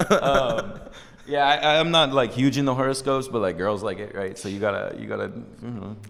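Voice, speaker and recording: A man with an American accent at medium pitch, lively intonation and a fairly quick pace, with big swings in loudness, audible room echo and noticeable background noise. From New Jersey. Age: 30s. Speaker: music artist. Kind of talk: casual chat.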